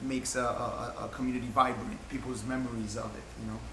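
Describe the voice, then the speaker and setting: A man speaks in an American accent. Noticeable background noise and an audible room echo fill the recording. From Williamsburg, Brooklyn, New York. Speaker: community volunteer. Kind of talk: casual discussion.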